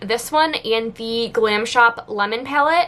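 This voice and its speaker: A woman's raised, projected voice with lively intonation over noticeable background noise. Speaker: beauty youtuber. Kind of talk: casual product review vlog. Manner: fast.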